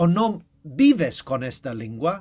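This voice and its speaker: High pitch and very wide pitch swings from a man. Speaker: discussion host. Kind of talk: casual conversation. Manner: halting.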